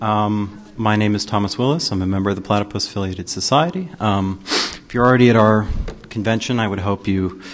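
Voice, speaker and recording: A normal speaking voice moves at a fairly quick pace with ordinary pitch variation. There is light background noise. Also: man, fairly low pitch for a man. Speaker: panel moderator. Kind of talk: event introduction. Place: hall.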